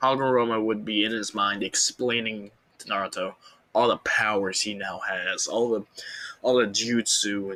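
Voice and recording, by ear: Reading aloud in a natural voice is what this clip captures.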